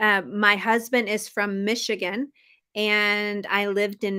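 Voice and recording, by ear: A woman's bright, sharp, medium-pitched voice with fairly even intonation on a very clean recording with a silent background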